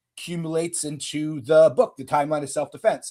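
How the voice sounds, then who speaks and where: In an unremarkable speaking voice with a Canadian accent, the speaker goes at a fairly quick pace in a very clean recording with a silent background. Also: man. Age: 40s. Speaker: self-defense instructor. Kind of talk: interview conversation.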